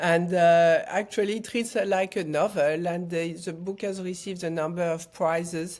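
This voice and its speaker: A woman's fairly low voice with a French accent, fairly even intonation, a moderate pace and hardly any pauses, in a very clean recording with a silent background. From France, Paris. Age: 60s. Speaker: foundation founder and author. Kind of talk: interview. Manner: halting.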